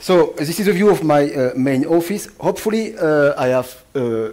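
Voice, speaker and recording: Amid noticeable background noise and audible room echo, a man speaks with a French accent. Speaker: atmospheric scientist. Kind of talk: lecture. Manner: fast; halting, many fillers.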